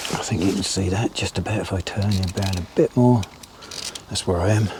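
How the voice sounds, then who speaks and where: Fairly low male voice, fairly quick pace and fairly even intonation amid noticeable background noise. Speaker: angler vlogger. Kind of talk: live commentary while fishing. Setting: outdoors at a fishing lake. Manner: casual, chatty; loud.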